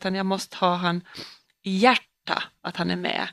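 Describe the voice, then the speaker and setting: This woman talks fairly slowly. Her voice comes across dry and close, with no echo. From Åland. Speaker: police officer and podcast co-host. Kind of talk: casual chat.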